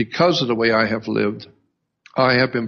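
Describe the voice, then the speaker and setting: This is a man's voice. It has vocal fry. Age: 70s. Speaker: radio host. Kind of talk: radio monologue. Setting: live radio show. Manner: hesitant, with many uh fillers and restarts.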